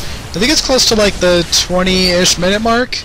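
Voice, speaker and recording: Speaking at a moderate pace with fairly even intonation, this voice comes through over noticeable background noise. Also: man. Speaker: game commentator. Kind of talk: casual game commentary.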